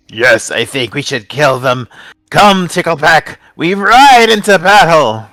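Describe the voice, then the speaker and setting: Using a put-on character voice, a man speaks high and fairly slowly. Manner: bellicose, eager for battle.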